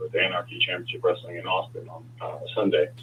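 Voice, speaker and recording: Noticeable noise sits in the background. Through it, a man's voice comes across. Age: 40s. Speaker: professional wrestler. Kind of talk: interview.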